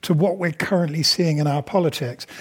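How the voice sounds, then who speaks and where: An accent is heard, a British accent. The delivery moves at a moderate pace. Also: man. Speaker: journalist and moderator. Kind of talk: moderated Q&A. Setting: stage with audience. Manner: hesitant with fillers.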